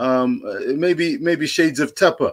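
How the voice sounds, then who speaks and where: A man speaks in a high voice over a quiet background. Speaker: guest caller; guest. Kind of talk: livestream panel discussion. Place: home room. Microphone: earbuds.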